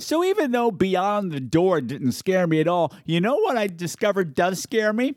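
A voice with an American accent moves through very wide pitch swings. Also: man. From Long Island, New York. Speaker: podcast host. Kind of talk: casual chat. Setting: video call. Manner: animated.

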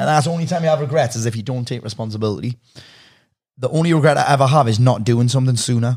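Speaking at a very fast pace, a man's somewhat breathy voice sits at a medium pitch with ordinary pitch variation. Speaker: podcast host and coach. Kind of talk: casual chat.

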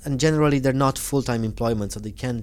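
This man speaks at a medium pitch with a Romanian accent. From Romania, Transylvania. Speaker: community development worker for Roma. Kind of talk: interview conversation. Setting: hotel room recording.

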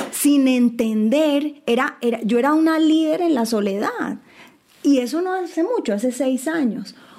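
Amid noticeable background noise, a woman speaks slowly, though only fairly so, in a high pitch with lively intonation. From Colombia. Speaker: lawyer and tech entrepreneur. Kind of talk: casual panel conversation.

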